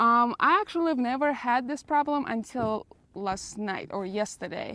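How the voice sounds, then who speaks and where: At a moderate pace, this voice has a Russian accent, lively intonation and a bright, sharp tone against a quiet background. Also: woman, high pitch for a woman. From Russia, Moscow. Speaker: vlogger. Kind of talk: casual Q&A vlog.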